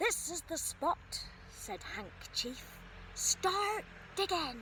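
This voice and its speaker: Using a put-on character voice, a woman speaks at an extremely high pitch and a very slow pace. Clear background noise is audible. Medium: read story.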